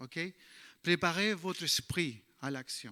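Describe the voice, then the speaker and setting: A man speaks with a non-native accent at a high pitch. His tone is bright and sharp, in a very clean recording with a silent background. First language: English (speaking French). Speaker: bible teacher. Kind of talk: sermon. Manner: halting.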